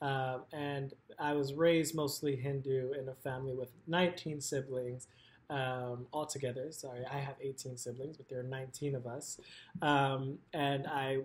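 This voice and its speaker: Somewhat breathy, a man speaks at a fairly slow pace. His intonation is monotone and flat. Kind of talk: talk about own book. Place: home room. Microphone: webcam.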